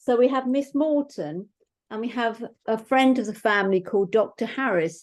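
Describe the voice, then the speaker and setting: A woman's fairly high voice with a British accent, at a moderate pace with ordinary pitch variation, over a quiet background. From England. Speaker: mystery author. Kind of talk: author talk.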